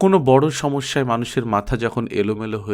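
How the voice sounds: A natural reading voice is heard. Its pitch variation is ordinary.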